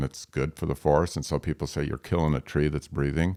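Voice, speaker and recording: A very deep, low male voice in a very clean recording with a silent background, dry and close with no echo. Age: 60s. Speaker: forest landowner. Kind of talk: interview.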